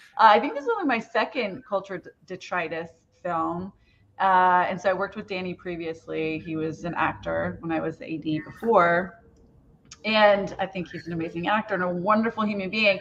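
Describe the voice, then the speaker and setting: Speaking fairly quickly in an ordinary speaking voice, a woman keeps a medium pitch with ordinary pitch variation and big swings in loudness. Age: middle-aged. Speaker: assistant director. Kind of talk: casual chat.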